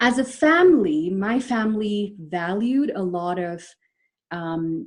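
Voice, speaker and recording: With an Indian accent, a woman speaks at a medium pitch with lively intonation, going very slowly with long, frequent pauses. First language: Malayalam. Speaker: psychologist. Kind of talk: webinar presentation. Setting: online webinar. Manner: hesitant, many fillers.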